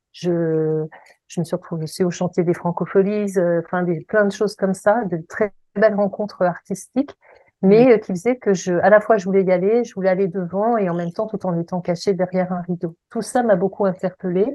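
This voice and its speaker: A woman's normal speaking voice, medium in pitch, with fairly even intonation and a moderate pace. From Paris region, France. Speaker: voice coach and singer. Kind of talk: interview.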